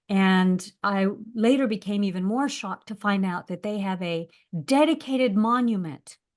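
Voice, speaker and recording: With an American accent, a woman uses a normal speaking voice at medium pitch, ordinary pitch variation and a moderate pace against a quiet background. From US, Los Angeles. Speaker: professor. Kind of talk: panel discussion.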